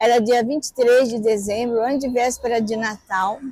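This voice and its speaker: Moderate pace and fairly even intonation from a woman with a high pitch. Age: 60s. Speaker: mother of a missing child, activist. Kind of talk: documentary interview testimony.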